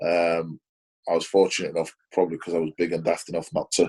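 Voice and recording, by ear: A man speaks fast in a low voice, slightly mellow with a slightly husky edge, his intonation monotone and flat.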